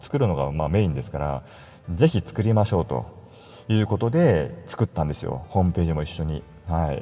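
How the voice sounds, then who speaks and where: Talking at a fairly quick pace, a man uses a very deep, low pitch with lively intonation. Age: 40s. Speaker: solo podcaster and web designer. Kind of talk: casual solo monologue. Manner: conversational, many fillers.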